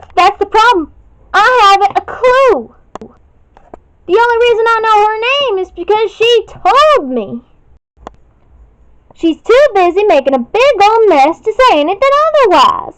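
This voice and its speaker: Squeaky, female-sounding put-on character voice at an extremely high pitch, moderate pace, with long, frequent pauses. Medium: audio drama. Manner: folksy, drawling.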